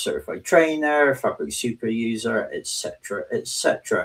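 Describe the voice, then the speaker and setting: A man with a southwest English accent at a moderate pace. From southwest England. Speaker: technology advocate and trainer. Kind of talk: interview.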